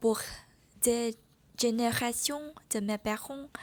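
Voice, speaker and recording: With a Vietnamese accent, a woman speaks at a fairly high pitch and with fairly even intonation. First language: Vietnamese (speaking French). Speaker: French learner vlogger. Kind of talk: personal vlog monologue.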